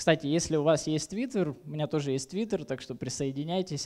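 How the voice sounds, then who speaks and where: Over a quiet background, a man speaks in a dark, mellow tone with ordinary pitch variation. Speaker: conference speaker. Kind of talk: conference talk. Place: hall. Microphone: headset.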